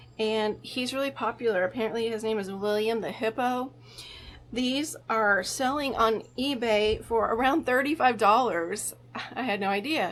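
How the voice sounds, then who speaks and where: A woman with an unremarkable speaking voice and a fairly high pitch talks at a moderate pace with ordinary pitch variation. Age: 50s. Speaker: vintage reseller and antique booth owner. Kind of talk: casual vlog narration of a shopping haul.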